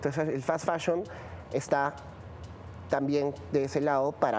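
A man speaks at a moderate pace in a fairly high pitch, his tone dark and mellow, with light background noise behind him. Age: 30s. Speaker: fashion production specialist; guest. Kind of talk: interview. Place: studio. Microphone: lapel.

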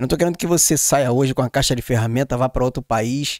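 In a dry sound with no echo and a quiet background, a man with a medium pitch talks at a fairly quick pace in an animated tone, with ordinary pitch variation. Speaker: podcast host. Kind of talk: casual chat. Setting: studio. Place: studio. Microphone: studio mic.

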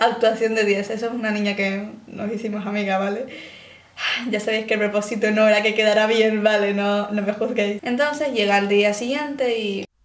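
A woman talks at a fairly high pitch and moderate pace, with audible room echo. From Spain. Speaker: YouTuber. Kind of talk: reaction video commentary. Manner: animated. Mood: joking, animated. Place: home room.

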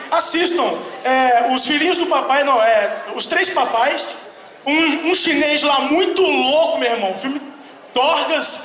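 Raising and projecting his voice, a man speaks at a fairly slow pace with an extremely high pitch, amid light background noise and audible room echo. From Brazil, Rio de Janeiro. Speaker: stand-up comedian and voice actor. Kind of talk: stand-up. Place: stage.

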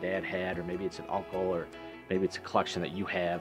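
Clear music plays in the background as the speaker talks at a very fast pace in an enthusiastic tone. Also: man. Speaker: auctioneer and business owner. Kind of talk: promotional talk to camera about his auction business. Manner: conversational, enthusiastic, with frequent fillers. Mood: enthusiastic, proud. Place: shop. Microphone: lapel.

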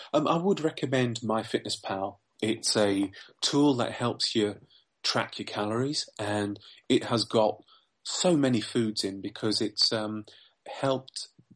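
Against a quiet background, a man with a southern English accent speaks at a fairly slow pace, with medium pitch and ordinary pitch variation. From southern England. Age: 40s. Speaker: weight loss success story guest, finance worker. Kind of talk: podcast interview.

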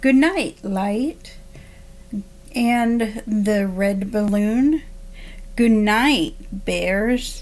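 A woman's fairly high voice at a very slow pace, with ordinary pitch variation and long, frequent pauses. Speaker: special education assistant reading to children. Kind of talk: bedtime story read aloud to children, gentle sing-song rhythm. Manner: soft, slow and soothing, with lulling rhymed cadence; warm and friendly, addressing young listeners directly. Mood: calm, soothing. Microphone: webcam.

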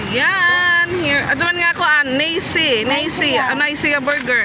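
The voice is raised and projected. There is noticeable background noise. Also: woman. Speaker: vlogger. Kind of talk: casual vlog narration. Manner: louder than usual.

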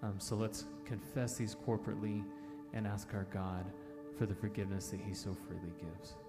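Clear music plays in the background while a man speaks. His pace is fairly quick, and his pitch varies in an ordinary way. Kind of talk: spoken introduction to a song in a church service. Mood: calm, reflective. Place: hall. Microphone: handheld.

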